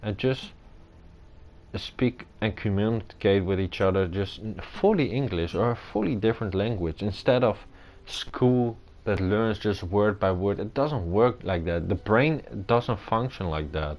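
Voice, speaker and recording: A man with a fairly low pitch and a non-native accent, fairly slow pace, ordinary pitch variation. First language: not English. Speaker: gamer playing a video game. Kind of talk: gameplay commentary. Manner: halting.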